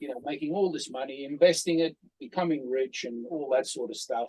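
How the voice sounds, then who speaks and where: A man at a fairly quick pace. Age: 60s. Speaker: former bodybuilding champion. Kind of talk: casual interview chat. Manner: halting, repeats words.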